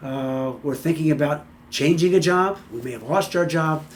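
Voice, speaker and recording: A man's voice with ordinary pitch variation. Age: 60s. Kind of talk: motivational talk to camera. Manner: casual, halting with many fillers and repeats.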